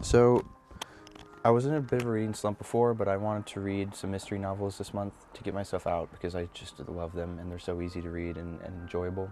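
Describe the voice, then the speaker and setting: Over background music, a soft-spoken man talks very fast at a fairly low pitch, his pitch varying in an ordinary way and his loudness swinging widely. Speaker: book vlogger. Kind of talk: casual chat. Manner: halting.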